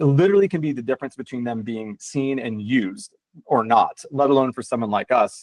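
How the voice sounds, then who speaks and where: Recorded with a dry, close sound and no echo, a man talks at a very fast pace in a medium pitch. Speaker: natural building panelist, prefab building manufacturer. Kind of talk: conference panel presentation.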